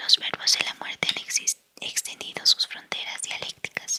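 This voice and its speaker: Whispering at a moderate pace, a woman is heard in a dry, close sound with no echo. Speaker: audiobook reader. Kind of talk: whispered book reading. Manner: whispered.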